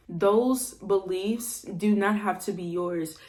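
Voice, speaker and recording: Against audible room echo, a woman talks with fairly even intonation at a medium pitch. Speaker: self-improvement vlogger. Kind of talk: motivational talk. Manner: calm, relaxed; casual, slangy.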